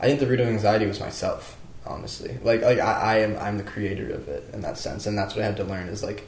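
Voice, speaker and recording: Speech with an American accent comes at a fairly quick pace, with audible room echo and noticeable background noise. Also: man. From US Southwest, New Mexico. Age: 20s. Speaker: aspiring musician. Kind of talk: casual chat. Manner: filler-heavy, halting.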